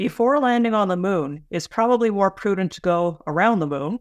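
A woman with a Canadian accent has an unremarkable speaking voice, with lively intonation at a moderate pace. The recording is very clean with a silent background, and the sound is dry and close with no echo. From Canada. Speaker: space journalist. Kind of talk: interview conversation.

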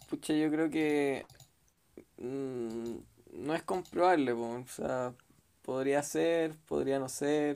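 Speaking at a very slow pace, a man with a Chilean accent has a fairly high pitch and ordinary pitch variation. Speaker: sociologist. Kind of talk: casual chat.

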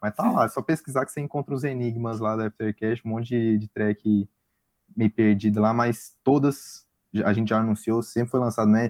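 A man with a Goiás accent at medium pitch, moderate pace and fairly even intonation, dry and close with no echo, in a very clean recording with a silent background. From Brazil, Goiânia (Goiás). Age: 20s. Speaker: electronic music producer and DJ. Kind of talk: casual interview.

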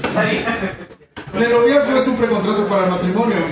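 A man talks in an animated tone. Noticeable background noise runs underneath. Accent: Mexican. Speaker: stand-up comedian. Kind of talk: stand-up comedy roast about love, rapid-fire punchlines and political jokes. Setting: stage with audience. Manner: animated, irreverent, crude; punchline-driven with audience laughter.

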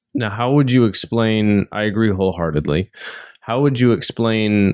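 Against a quiet background, in a dry, close sound with no echo, a man with an unremarkable speaking voice talks at a fairly low pitch and a moderate pace, with ordinary pitch variation. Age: 30s. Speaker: podcast host. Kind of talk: casual interview chat.

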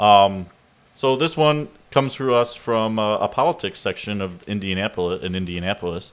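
A plain, everyday voice from a man with an American accent, fairly low in pitch, with lively intonation at a moderate pace, in a very clean recording against a silent background. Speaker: podcast co-host. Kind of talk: casual chat.

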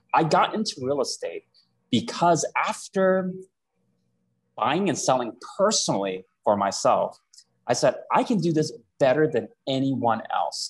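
A man talks at a fairly slow pace with long, frequent pauses. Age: 30s. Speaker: real estate agent. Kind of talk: interview.

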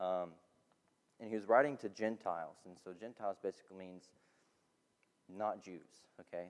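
A man's speech with big swings in loudness and long, frequent pauses. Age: 20s. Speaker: student pastor. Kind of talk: sermon.

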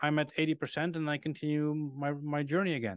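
Speaking with a Dutch accent, a man goes at a fairly quick pace in a fairly high pitch with fairly even intonation. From Netherlands. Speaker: car podcast co-host. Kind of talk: casual chat.

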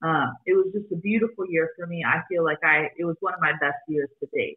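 With an American accent and a plain, everyday voice, a woman talks at a fairly quick pace in a fairly low pitch. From Arizona, US (Phoenix). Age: 20s. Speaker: podcaster and former makeup artist. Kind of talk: interview, personal story.

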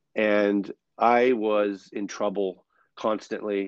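This man speaks with an American accent. His pitch is fairly low. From New York City. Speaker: performer and author, speaker. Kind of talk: casual interview chat.

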